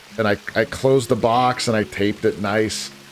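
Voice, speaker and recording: A man with an American accent talks in fairly even intonation while music plays in the background. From US Northeast, northeastern Pennsylvania. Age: 40s. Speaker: gaming streamer. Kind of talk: casual live-stream chat. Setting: live stream. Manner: halting, many fillers and restarts.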